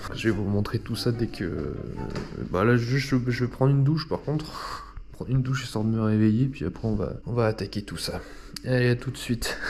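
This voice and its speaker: Noticeable background noise sits under this recording. A man speaks at a medium pitch and a moderate pace. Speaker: YouTuber. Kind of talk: casual vlog. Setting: at home, filming with action camera. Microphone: room echo.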